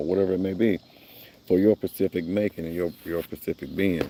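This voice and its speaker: A man speaks at a fairly quick pace with fairly even intonation and a dark, mellow tone. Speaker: online minister. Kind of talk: monologue. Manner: fast.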